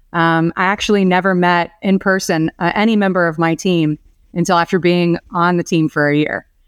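Recorded very cleanly with a silent background and a dry, close sound with no echo, a woman with an American accent speaks at a moderate pace in a fairly low pitch, with fairly even intonation and very even loudness. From Florida, Orlando. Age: 40s. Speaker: business development executive at a lender. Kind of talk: podcast interview.

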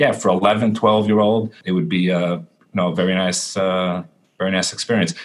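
In a New York accent, a man speaks with a very deep, low pitch. His intonation is fairly even and his pace moderate. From Brooklyn, New York. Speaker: cantor. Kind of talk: interview. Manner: halting.

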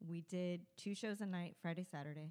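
A woman with an American accent speaks at a medium pitch with fairly even intonation in a normal speaking voice. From Southern California. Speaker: burlesque performer and show producer. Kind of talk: casual chat.

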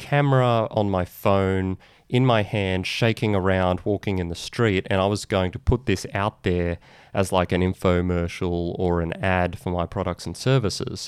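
The recording is very clean, with a silent background. On it, a man talks with ordinary pitch variation. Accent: Australian. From Australia. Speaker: podcast host and lawyer marketing expert. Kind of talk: solo video/podcast monologue, informal explainer. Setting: video recording. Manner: casual, conversational.

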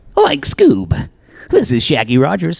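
In a put-on character voice, the speaker talks at a fairly slow pace with a low-to-middle pitch. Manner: cartoon impression.

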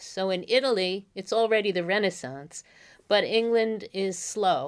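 In a New York accent, a woman speaks at a fairly slow pace. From the Bronx, New York. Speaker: college professor of medieval literature. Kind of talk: interview about literature.

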